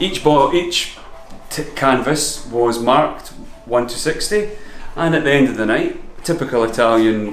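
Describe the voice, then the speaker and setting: A man with an Edinburgh accent, medium-pitched, at a moderate pace, with ordinary pitch variation, audible room echo and noticeable background noise. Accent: Scottish (Edinburgh). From Scotland, Edinburgh. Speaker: painter. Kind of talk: interview.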